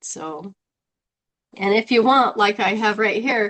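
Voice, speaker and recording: A woman's voice at medium pitch, with ordinary pitch variation and a fairly slow pace. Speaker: health coach. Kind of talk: casual chat.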